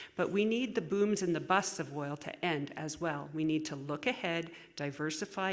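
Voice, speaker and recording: In a Canadian Prairie accent, a woman speaks with a very deep, low pitch. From Saskatchewan, Canada. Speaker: political candidate. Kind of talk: candidate closing statement at public forum. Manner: halting.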